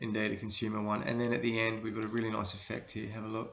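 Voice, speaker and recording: Someone with an Australian accent speaks at a very fast pace with ordinary pitch variation. Background noise is noticeable. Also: man. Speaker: creative director, video producer. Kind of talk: casual talk to camera, portfolio walkthrough. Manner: relaxed, hesitant, many fillers.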